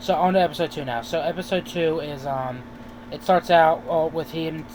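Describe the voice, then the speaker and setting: A man with a fairly high pitch talks over noticeable background noise. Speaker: YouTube TV reviewer. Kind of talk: casual video review. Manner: fast; halting, many fillers.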